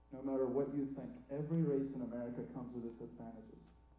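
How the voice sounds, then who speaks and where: Talking at a very fast pace, a man with a fairly high voice uses ordinary pitch variation, and the room echo is audible. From Iraq. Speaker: student stand-up comedian. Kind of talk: stand-up. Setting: theatre stage with audience.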